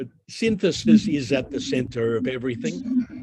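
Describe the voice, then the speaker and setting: A man speaks with an Australian accent. His pace is fairly slow. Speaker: university lecturer. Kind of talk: academic webinar lecture. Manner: deliberately slow.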